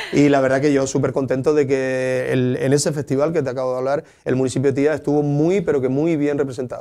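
This man speaks with a Canarian accent at a fairly high pitch for a man, in a flat monotone. He talks very fast with hardly any pauses. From Lanzarote, Canary Islands (Tías); Canary Islands. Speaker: local sports councillor. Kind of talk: interview. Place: studio.

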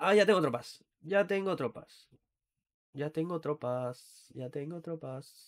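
On a very clean recording with a silent background, a man with a fairly high pitch and ordinary pitch variation talks at a very slow pace. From Catalonia, Spain (Granollers/Mataró area near Barcelona). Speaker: gaming streamer. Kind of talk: live gameplay stream, casual chat with viewers. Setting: live stream with webcam.

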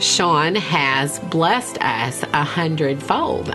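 A woman speaks with clear music in the background. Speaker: elementary school teacher. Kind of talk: documentary interview answer. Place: studio.

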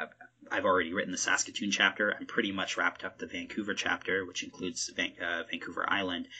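With a Canadian accent, a man talks at a fairly quick pace. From Ontario, Canada. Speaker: podcast host, hip hop researcher. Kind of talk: interview conversation. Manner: halting, many fillers.

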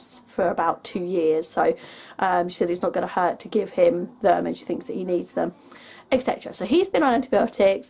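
A woman speaks with an English accent. She talks at a fairly quick pace. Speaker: family vlogger. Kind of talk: casual vlog.

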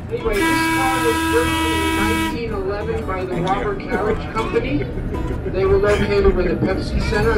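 The speech moves at a moderate pace against loud background noise. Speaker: volunteer guide. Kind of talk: tour guide commentary. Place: train. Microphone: camera far.

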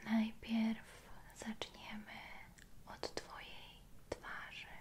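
Someone whispers at a very slow pace. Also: woman. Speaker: relaxation roleplay guide. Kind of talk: soft guided relaxation. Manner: soft, hushed ASMR speaking. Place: home room.

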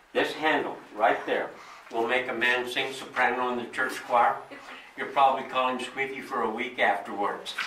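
A man talks at a moderate pace amid audible room echo and light background noise. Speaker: mine tour guide. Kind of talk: tour guide explanation. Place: tunnel cave. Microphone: camera far.

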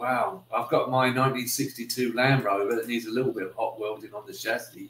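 A speaker with a British accent talks at a moderate pace. Light background noise and audible room echo are present. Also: man. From UK. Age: 60s. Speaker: YouTuber. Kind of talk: casual livestream chat. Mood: friendly, relaxed. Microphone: webcam.

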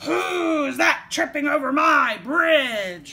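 In a put-on character voice, the speaker bellows at a high pitch and a very slow pace. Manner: roaring, fierce.

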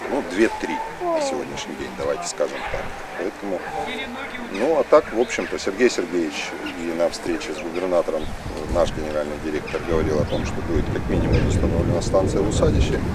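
A man at a fairly quick pace with long, frequent pauses, a dry sound with no echo, and loud background noise. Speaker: water utility manager. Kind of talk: on-site interview. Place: open country.

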